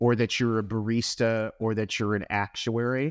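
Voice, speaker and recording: A man speaks at a moderate pace in a medium pitch. It is a normal speaking voice over a quiet background. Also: dry, close sound with no echo. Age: 50s. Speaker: company founder and president. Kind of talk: interview conversation.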